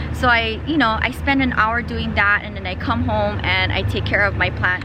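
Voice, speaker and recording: There is music playing behind a woman's voice. The room echo is audible. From Hawaii, Big Island (Hilo). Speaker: plant YouTuber and Pilates teacher. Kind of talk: casual Q&A vlog. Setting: outdoors at home.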